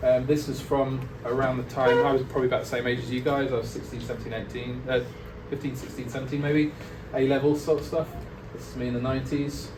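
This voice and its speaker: Amid noticeable background noise and audible room echo, a man talks at a very fast pace in a monotone, flat intonation. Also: medium pitch for a man. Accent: Lincolnshire. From England, Lincoln. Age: 40s. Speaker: illustrator. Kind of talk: guest talk to students. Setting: classroom with students. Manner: casual, hesitant with many fillers.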